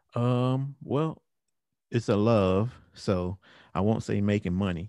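A man with a fairly low pitch talks at a fairly slow pace, using ordinary pitch variation. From Cleveland, Ohio. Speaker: church musical director and keyboardist. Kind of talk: casual interview. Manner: halting, many fillers.

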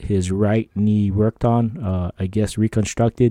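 Fairly even intonation at a moderate pace, in a very clean recording with a silent background and a dry, close sound with no echo. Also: man. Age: 50s. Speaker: podcast host. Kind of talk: reading aloud listener emails with commentary. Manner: casual, halting with fillers.

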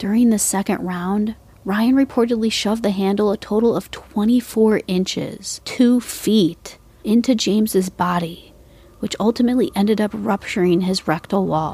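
Somewhat breathy, with a dark, mellow tone, a woman talks at a moderate pace and a fairly high pitch. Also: ordinary pitch variation. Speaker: true crime podcast host. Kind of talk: true-crime narration, scripted.

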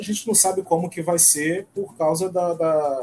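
The man's voice sits high in pitch. It varies in pitch an ordinary amount. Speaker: samba parade announcer. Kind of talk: casual chat.

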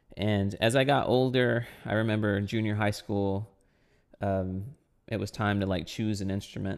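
At a moderate pace, a man with a fairly low pitch uses fairly even intonation and an ordinary speaking voice. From South Texas. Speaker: percussionist and composer. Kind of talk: interview.

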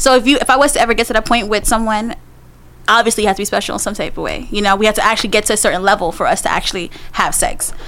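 A woman with a New York accent speaks at a very fast pace and a fairly high pitch, with ordinary pitch variation. Noticeable background noise runs behind her. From Queens, New York, Guyanese family. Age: 20s. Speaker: guest. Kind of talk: casual chat.

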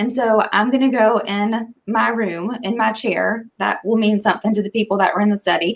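A woman speaks with an American accent and vocal fry. Her intonation is a flat monotone. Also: fairly high pitch for a woman, moderate pace, hardly any pauses. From Eastern North Carolina. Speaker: small business employee. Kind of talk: casual chat.

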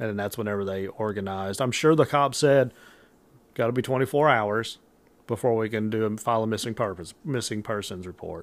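An ordinary speaking voice from a man with an American accent, fairly low in pitch, with ordinary pitch variation and a fairly quick pace, on a very clean recording with a silent background. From southern Illinois. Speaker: paranormal podcast co-host. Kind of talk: casual chat with scripted storytelling.

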